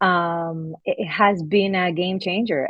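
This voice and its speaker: Speaking with a Spanish accent, a woman uses a medium pitch and ordinary pitch variation. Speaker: laundromat owner. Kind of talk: testimonial interview. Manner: halting, with fillers.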